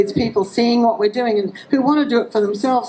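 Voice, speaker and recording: A woman talks with an Australian accent and fairly even intonation. Noticeable background noise runs underneath. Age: 60s. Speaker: rally speaker. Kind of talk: public speech at a rally. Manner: halting.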